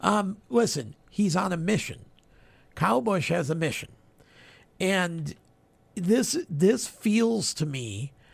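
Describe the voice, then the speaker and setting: The recording is very clean, and the background is silent. A high-pitched man speaks very slowly, with very wide pitch swings and long, frequent pauses. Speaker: radio co-host. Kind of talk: casual chat.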